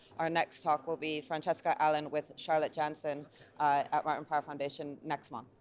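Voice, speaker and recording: Speaking with an American accent, a woman uses a very deep, low pitch and monotone, flat intonation. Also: moderate pace. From US, Niagara Falls, New York. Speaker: gallery owner. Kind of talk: interview. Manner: halting, many fillers.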